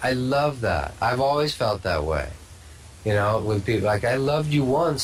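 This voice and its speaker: Lively intonation marks a man's fairly slow delivery. Audible room echo and noticeable background noise are present. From Sweden. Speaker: spiritual teacher. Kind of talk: casual chat. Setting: Skype video call. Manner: animated.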